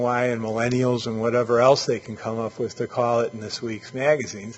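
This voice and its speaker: A man speaks at a medium pitch. His pace is fairly quick. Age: 60s. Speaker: urban planning expert. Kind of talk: lecture. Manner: halting, with many fillers.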